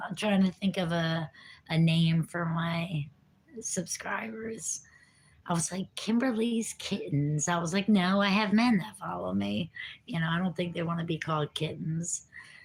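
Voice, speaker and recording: A woman with an American accent speaks at a fairly slow pace in a fairly low, somewhat breathy voice. Her intonation is lively. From New Jersey. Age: 50s. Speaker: recovering addict vlogger. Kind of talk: casual livestream chat. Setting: livestream.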